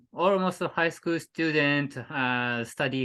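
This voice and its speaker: A bright, sharp tone with a Japanese accent, set against a quiet background. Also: man. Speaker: cycling adventurer. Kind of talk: casual interview. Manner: halting.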